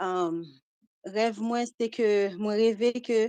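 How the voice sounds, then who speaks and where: Quiet background and a dry, close sound with no echo. A woman speaks at fairly high pitch with a dark, mellow tone. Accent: Haitian. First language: Haitian Creole. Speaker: caller. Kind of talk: recounting a dream. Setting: WhatsApp call.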